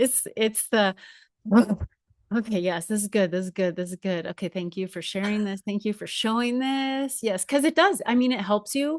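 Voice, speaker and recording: Recorded with a dry, close sound, no echo and a quiet background, a woman with a fairly high pitch speaks at a moderate pace and with lively intonation. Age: 40s. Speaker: podcast host. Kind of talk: casual interview chat. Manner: halting, repeats words.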